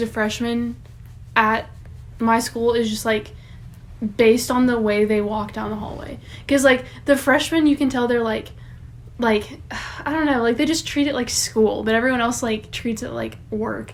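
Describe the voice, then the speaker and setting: In an ordinary speaking voice, a woman talks at a fairly high pitch and a moderate pace with fairly even intonation. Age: 19. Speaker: podcast co-host, community college student. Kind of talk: casual chat.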